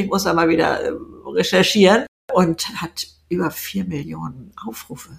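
A woman speaks with vocal fry. Her pace is fairly slow. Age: 70s. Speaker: YouTuber and author. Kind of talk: interview.

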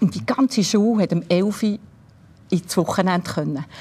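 This woman has a fairly low pitch, a somewhat breathy voice and ordinary pitch variation. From Switzerland, Bern region. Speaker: former cellist and music school director. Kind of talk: interview.

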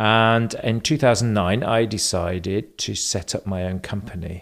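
Speaking with fairly even intonation, a man has a slight German accent. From England. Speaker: travel platform founder. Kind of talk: interview.

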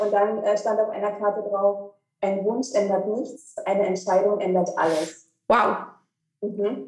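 Medium pitch from a woman, an ordinary speaking voice. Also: fairly even intonation, fairly slow pace. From eastern Germany, Cottbus. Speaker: breathing coach and relaxation therapist. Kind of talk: casual interview.

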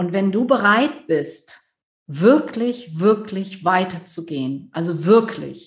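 At a very slow pace, a woman speaks in a somewhat breathy voice at a medium pitch. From Rhineland, near Düsseldorf, Germany. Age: 50s. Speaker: business coach. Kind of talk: interview.

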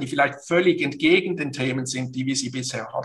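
With fairly even intonation, the man's tone comes across bright and sharp. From Switzerland, Basel. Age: 50s. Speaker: business consultant and coach. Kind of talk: interview. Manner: hesitant, many fillers and repetitions.

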